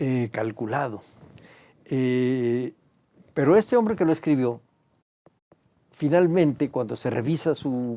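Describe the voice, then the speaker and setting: A man with a dark, mellow tone speaks at a medium pitch and a very slow pace. His pitch varies in an ordinary way, broken by long, frequent pauses. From Mexico, Mexico City area. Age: 70s. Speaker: historian and museum director. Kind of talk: interview. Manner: hesitant, with frequent fillers.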